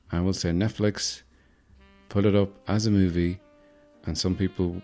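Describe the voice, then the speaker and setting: A man with a very deep, low pitch and an Irish Midlands accent, moderate pace and fairly even intonation, music in the background. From Ireland. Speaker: podcaster. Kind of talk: sleep podcast about movies. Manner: soothing, witty.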